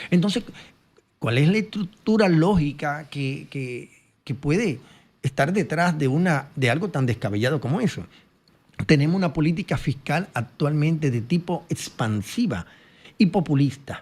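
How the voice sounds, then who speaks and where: Fairly slow and somewhat breathy, a man speaks at a fairly high pitch. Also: very clean recording, silent background. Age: 60s. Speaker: economist. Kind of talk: interview.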